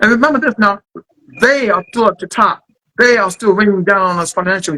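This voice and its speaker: A man's high-pitched, raised, projected voice with a bright, sharp tone and a dry, close sound with no echo. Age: 60s. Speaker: poet. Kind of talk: interview. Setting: filmed interview.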